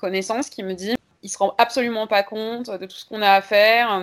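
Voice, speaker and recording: A woman with an unremarkable speaking voice talks at a moderate pace and a fairly high pitch. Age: 30s. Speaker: history and geography teacher, feminist activist. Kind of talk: interview.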